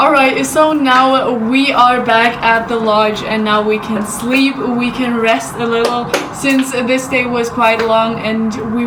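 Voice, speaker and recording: Music plays in the background and the room echo is audible. A woman talks at a fairly slow pace in a monotone, flat way. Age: 20s; young. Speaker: vlogger. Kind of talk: vlog.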